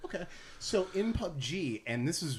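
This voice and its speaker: Lively intonation in a somewhat breathy male voice. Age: 30s. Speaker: stand-up comedian. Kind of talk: casual podcast chat.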